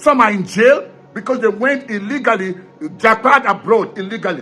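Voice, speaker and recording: Music plays in the background as a raised, projected voice carries ordinary pitch variation. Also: man. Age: 60s. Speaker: political commentator. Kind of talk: political commentary monologue. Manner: animated.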